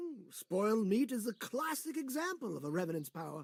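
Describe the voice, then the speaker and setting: Putting on a character voice, a man talks at a fairly quick pace, high-pitched for a man, with very wide pitch swings. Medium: video game. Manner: grandiose, storyteller cadence.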